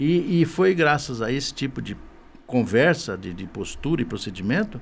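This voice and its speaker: Using vocal fry, a man speaks at a moderate pace with lively intonation. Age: 60s. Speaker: business association director. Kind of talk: podcast interview. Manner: halting, repeats words.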